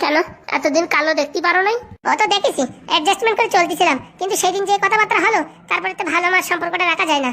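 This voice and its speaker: In a cartoonish character voice, a woman speaks at an extremely high pitch and a very fast pace, her loudness staying very even. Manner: sharp-tongued, bickering.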